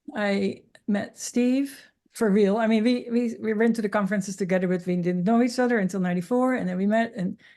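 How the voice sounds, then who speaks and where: With a Dutch accent, a woman talks at a fairly quick pace in a fairly high voice with a dark, mellow tone and ordinary pitch variation against a quiet background. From Netherlands. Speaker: interviewee sharing cancer healing journey. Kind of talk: interview testimony.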